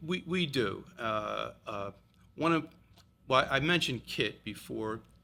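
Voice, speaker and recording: A man with a bright, sharp tone and vocal fry speaks at a very slow pace with lively intonation. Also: medium pitch for a man. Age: 70s. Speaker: veterans support organization president. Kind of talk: podcast interview. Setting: podcast studio. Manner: halting.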